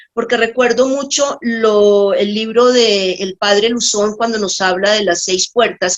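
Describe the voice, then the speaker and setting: Fairly slow speech from a woman, pitched fairly high, with ordinary pitch variation. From Colombia, Bogotá and Tocaima. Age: 60s. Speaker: nurse giving a faith testimony. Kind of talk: testimony. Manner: halting, with many fillers.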